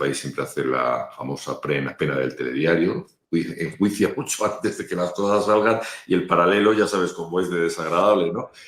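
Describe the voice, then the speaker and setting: This man has a very deep, low voice and lively intonation. He talks at a fairly quick pace. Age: 60s. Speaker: spokesman, communications consultant. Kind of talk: interview.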